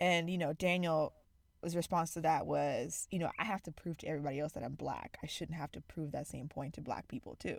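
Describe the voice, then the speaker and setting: A woman with vocal fry and a very deep, low pitch, at a fairly quick pace with fairly even intonation, in an American accent, on a very clean recording with a silent background. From Zimbabwe. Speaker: podcast co-host. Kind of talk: casual chat.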